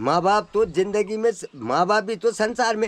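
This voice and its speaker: A man is speaking, and noticeable noise can be heard in the background. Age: 80s+. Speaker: village elder. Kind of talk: interview. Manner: halting.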